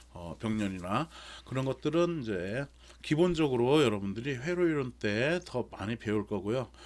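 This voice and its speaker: A plain, everyday voice at a moderate pace, with lively intonation. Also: man, medium pitch for a man. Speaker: university lecturer. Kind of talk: online lecture. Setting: recorded remote lecture.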